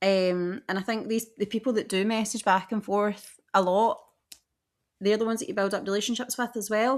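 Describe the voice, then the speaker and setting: A woman's fairly high voice in a Scottish accent, with ordinary pitch variation and a moderate pace, in a very clean recording with a silent background. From west coast of Scotland. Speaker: podcast co-host, theme park trip planner. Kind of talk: casual chat.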